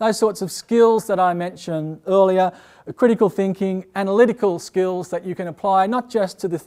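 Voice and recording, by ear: A man speaks with a high pitch, a slightly mellow tone, and ordinary pitch variation.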